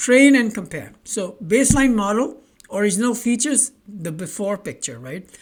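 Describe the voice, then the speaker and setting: Her tone is animated, with lively intonation and a fairly high pitch. The woman speaks with a non-native accent. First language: not English. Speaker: online tech tutor. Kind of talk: tutorial. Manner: halting, with repetitions and fillers.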